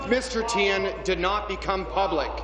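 Noticeable background noise sits behind a man's voice. He has a high pitch and fairly even intonation. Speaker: opposition legislator. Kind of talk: parliamentary debate. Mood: pointed, accusatory. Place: hall.

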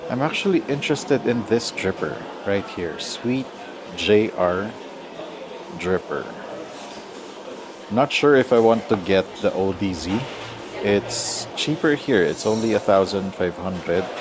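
Against noticeable background noise, a man speaks at a fairly slow pace and fairly low pitch with long, frequent pauses. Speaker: coffee vlogger. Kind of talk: casual vlog chat. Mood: relaxed, undecided. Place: shop. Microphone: lapel.

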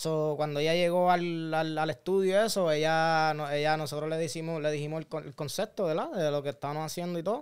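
A man uses a normal speaking voice at a fairly high pitch, with fairly even intonation. He keeps a fairly quick pace with hardly any pauses. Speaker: motorcyclist. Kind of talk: casual chat.

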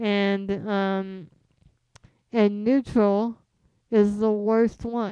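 A woman with an American accent, dark and mellow in tone, at a very slow pace with long, frequent pauses and monotone, flat intonation, dry with no echo over a quiet background. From US West Coast, San Jose, California; California. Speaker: comedian. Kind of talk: casual chat. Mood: casual, relaxed. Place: home room. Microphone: studio mic.

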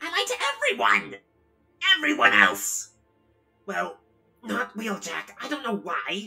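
A put-on character voice moves at a fairly slow pace. Faint music plays in the background. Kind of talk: comic-book fan dub acting. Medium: fan dub. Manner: defensive, agitated, shouting.

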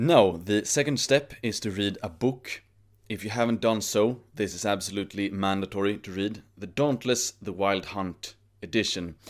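Over a quiet background, a man with a fairly low pitch talks at a moderate pace with ordinary pitch variation. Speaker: YouTuber giving self-improvement advice. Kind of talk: monologue to camera. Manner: formal, grandiloquent. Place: home room. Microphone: studio mic.

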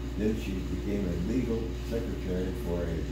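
A man's voice with audible room echo and loud background noise. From Missouri, USA. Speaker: country music singer. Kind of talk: interview answer.

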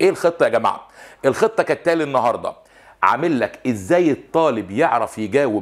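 A man's voice with vocal fry and very wide pitch swings, against a quiet background. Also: moderate pace. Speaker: French teacher. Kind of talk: lecture. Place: studio.

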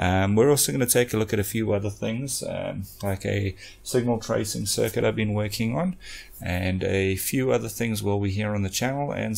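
A man speaks in a plain, everyday voice. His pitch is fairly low, with ordinary variation. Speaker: electronics repair channel host. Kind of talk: tutorial intro, casual vlog chat. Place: workshop. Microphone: studio mic.

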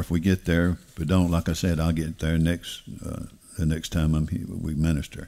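A man speaks with a Southern US accent and a dark, mellow tone. The background is quiet. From US South. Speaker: pastor. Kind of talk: sermon. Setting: church. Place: church. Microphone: headset.

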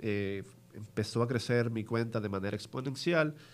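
A man speaks at a moderate pace. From Dominican Republic. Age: 30s. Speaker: investment firm representative; podcast guest. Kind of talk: interview. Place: studio. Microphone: studio mic.

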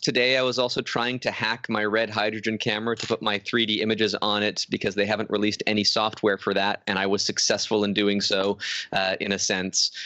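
Recorded with a dry sound and no echo over a quiet background, a man speaks at a fairly low pitch. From Canada. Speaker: photographer. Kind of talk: casual chat. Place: home room. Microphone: studio mic.

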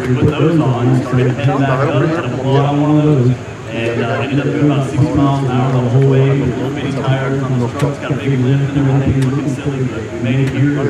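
A man talks very fast amid loud background noise, with audible echo from the room. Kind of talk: interview answer. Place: open country.

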